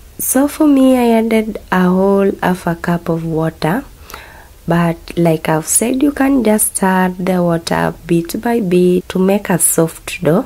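Against noticeable background noise, a woman speaks at a very slow pace with lively intonation and very even loudness. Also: medium pitch for a woman. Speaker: cooking channel host. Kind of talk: cooking tutorial voiceover.

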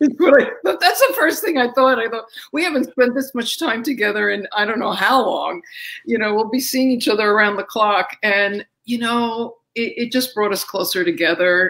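This woman talks at a moderate pace. Her intonation is lively. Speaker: guest. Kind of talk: interview answer. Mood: warm, amused, laughing. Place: home room.

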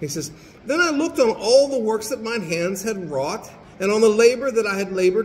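Big pitch swings come through amid audible room echo. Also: man.

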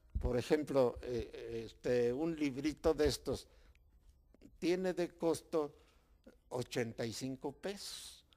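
Very slow speech from a man with a fairly high pitch and a dark, mellow tone, with ordinary pitch variation, long and frequent pauses, and a quiet background. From Mexico. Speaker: local author and former mayor; interviewee. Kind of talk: interview. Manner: halting. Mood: calm, content. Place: home room. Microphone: handheld.

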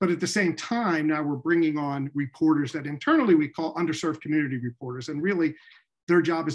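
Here a man speaks at a very fast pace. His pitch is fairly high, with ordinary variation. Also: quiet background. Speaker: newspaper editor. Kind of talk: panel discussion. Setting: video call. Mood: reflective, earnest. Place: home room. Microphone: earbuds.

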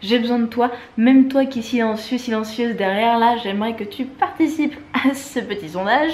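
A woman's high voice moves at a medium tempo, its pitch varying in a normal way. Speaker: travel vlogger; vlogger. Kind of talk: vlog to camera. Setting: airport and airplane while travelling. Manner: casual, chatty. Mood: warm, grateful, chatty. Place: home room. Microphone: phone near.

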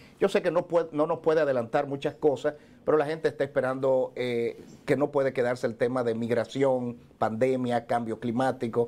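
Dark, mellow tone from a man at medium pitch, fairly quick in pace, with ordinary pitch variation. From Dominican Republic. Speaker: TV show host. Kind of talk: live TV interview. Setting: on location in New York. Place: office.

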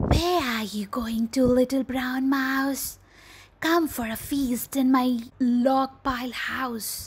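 In a put-on character voice, a female-sounding speaker talks very slowly at a high pitch for a woman. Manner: coaxing, then frightened.

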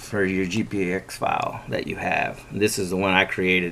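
At a fairly slow pace, a man talks in a fairly low voice. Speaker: off-road enthusiast. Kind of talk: casual screen-share tutorial. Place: home room. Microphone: phone near.

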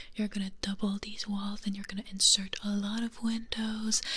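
A soft-spoken woman with monotone, flat intonation. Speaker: ASMR creator playing a teacher. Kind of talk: role-play teaching monologue. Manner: soft-spoken ASMR voice close to mic. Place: home room. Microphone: studio mic.

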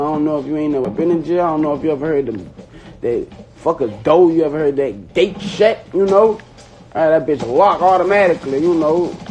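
With faint music in the background, a man talks at a fairly quick pace and ordinary pitch variation. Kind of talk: casual livestream rant. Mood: earnest, frustrated. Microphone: phone near.

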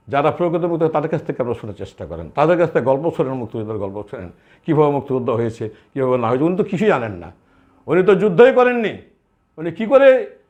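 A man with a fairly high pitch and vocal fry makes very wide pitch swings and big swings in loudness. The background is quiet. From Bangladesh, Chapainawabganj. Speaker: war veteran association leader. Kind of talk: interview statement.

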